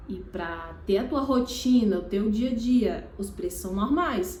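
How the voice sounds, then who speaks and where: Amid noticeable background noise and audible room echo, a woman speaks at a very slow pace and a fairly high pitch. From Piauí, Northeast Brazil. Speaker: makeup artist and YouTuber. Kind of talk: casual vlog talk to camera. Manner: halting, many restarts and fillers.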